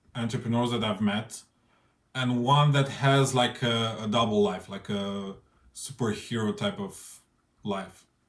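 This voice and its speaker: A man with a non-native accent speaks at medium pitch with ordinary pitch variation. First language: not English. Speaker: interviewer. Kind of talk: spoken introduction. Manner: halting.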